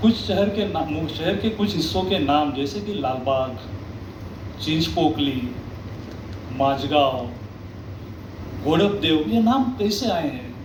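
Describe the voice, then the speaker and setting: A fairly high male voice in a Marathi accent, with very wide pitch swings, long, frequent pauses, audible room echo and noticeable background noise. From Mumbai, India. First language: Marathi (speaking Hindi). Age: 60s. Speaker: author and local historian. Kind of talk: speech at a literary event.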